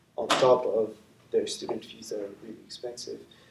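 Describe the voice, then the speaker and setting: In a French accent, the speaker keeps to a moderate speed. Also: man. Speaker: election candidate. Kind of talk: election debate. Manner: halting, many fillers.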